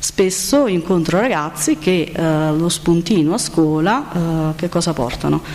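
At a fairly slow pace comes an unremarkable speaking voice. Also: woman. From Campania, province of Salerno. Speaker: nutritionist. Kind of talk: conference talk. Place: hall. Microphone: podium.

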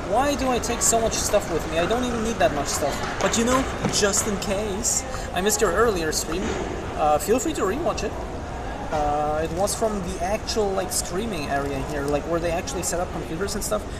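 Loud background noise surrounds a female speaker going at a moderate pace. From Germany. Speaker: streamer. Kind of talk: casual chat. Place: hall. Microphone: phone near.

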